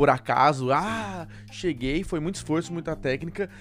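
Music plays in the background while a man talks fairly quickly. His pitch is fairly high, with ordinary variation. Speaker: podcast host. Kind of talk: casual interview chat. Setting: studio.

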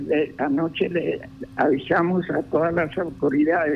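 The man's voice sits fairly high. He speaks at a very slow pace. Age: 80s+. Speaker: cattle rancher. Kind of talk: phone interview. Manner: halting.

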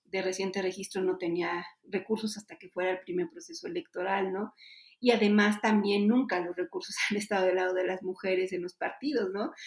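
Fairly quick and fairly even in intonation, a woman speaks at a medium pitch in an unremarkable speaking voice. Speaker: politician. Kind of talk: interview.

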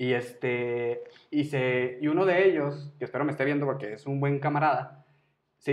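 This man has a plain, everyday voice, pitched fairly high. His pitch varies in an ordinary way. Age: 30s. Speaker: podcast co-host. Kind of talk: casual chat.

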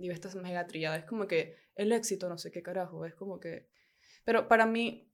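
A woman with a plain, everyday voice speaks at medium pitch and a fairly quick pace on a very clean recording with a silent background. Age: 20s. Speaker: podcast co-host. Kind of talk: casual chat.

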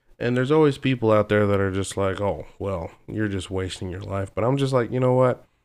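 A man with a plain, everyday voice, fairly low in pitch, at a fairly quick pace with hardly any pauses and ordinary pitch variation, on a very clean recording with a silent background. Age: young. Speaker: machinist. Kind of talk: casual chat.

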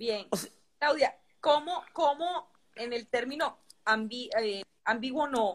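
A woman's high voice with lively intonation at a very slow pace, broken by long, frequent pauses. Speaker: interviewer. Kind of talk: interview.

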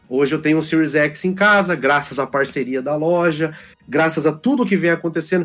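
Music plays in the background as a man with a fairly high pitch talks with ordinary pitch variation and very even loudness. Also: fairly quick pace. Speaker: gamer and community guest. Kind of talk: casual chat. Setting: online call.

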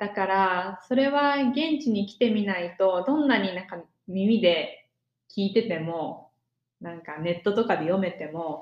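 Speaking fairly slowly in an unremarkable speaking voice, a woman with a medium pitch uses lively intonation, and her loudness swings widely. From Japan. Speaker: podcast co-host, exchange student. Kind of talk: casual chat.

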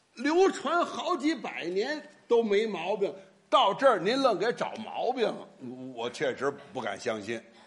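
Over noticeable background noise, a man speaks at a fairly slow pace with very wide pitch swings and big swings in loudness. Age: old. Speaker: crosstalk comedian (straight man). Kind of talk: crosstalk comedy performance.

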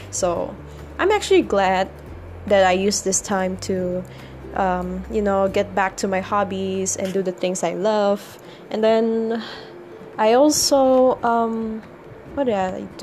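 A woman at a very slow pace, with long, frequent pauses and noticeable background noise. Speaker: podcaster. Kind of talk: casual monologue. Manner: hesitant, many fillers.

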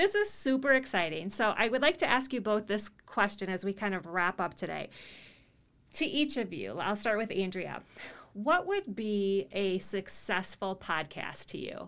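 A woman speaks in an ordinary speaking voice at a medium pitch. Her intonation is lively and her pace moderate. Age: 40s. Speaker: podcast host and public speaking teacher. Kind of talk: interview.

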